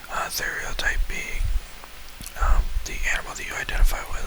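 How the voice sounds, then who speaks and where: The speech is whispered at a moderate pace. There is noticeable background noise. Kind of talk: ASMR talk. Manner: whispered, soft-spoken.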